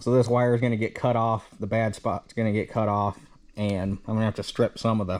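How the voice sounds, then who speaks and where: A fairly quick man with a fairly low pitch and monotone, flat intonation. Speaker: farmer restoring a tractor. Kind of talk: casual video update tutorial. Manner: casual, hesitant with fillers.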